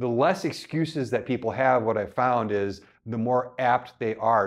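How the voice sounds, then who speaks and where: The background is quiet as a man talks. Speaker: home gym podcast host. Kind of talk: casual podcast talk to camera. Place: gym. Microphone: lapel.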